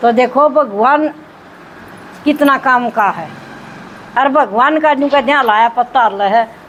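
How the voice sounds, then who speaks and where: The speech has long, frequent pauses and ordinary pitch variation. Noticeable background noise runs underneath. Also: woman, high pitch for a woman. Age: 60s. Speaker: spiritual group member sharing experience. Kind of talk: testimony. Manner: animated.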